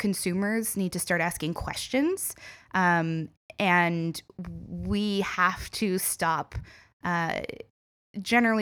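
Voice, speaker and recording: Speaking in an Ontario accent, a woman with a fairly low pitch and fairly even intonation leaves long, frequent pauses in a very clean recording with a silent background. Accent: Canadian (Ontario). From small-town Ontario, Canada. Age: 30s. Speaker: tourism consultant and entrepreneur. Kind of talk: interview.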